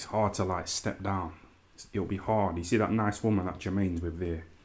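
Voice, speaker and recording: A man with an East Midlands accent speaks at a very deep, low pitch. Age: 30s. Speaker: YouTuber livestreamer. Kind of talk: casual livestream commentary. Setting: live stream. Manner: animated.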